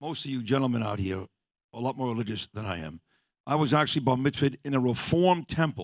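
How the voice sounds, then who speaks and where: A man with a New York accent talks at a fairly quick pace in a medium pitch, the sound dry and close with no echo. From Brooklyn, New York. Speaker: radio host. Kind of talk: casual chat.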